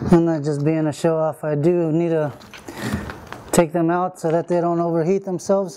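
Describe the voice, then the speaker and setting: Against noticeable background noise, a man with a fairly high pitch speaks at a fairly quick pace. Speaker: bee removal specialist. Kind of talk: explaining while working.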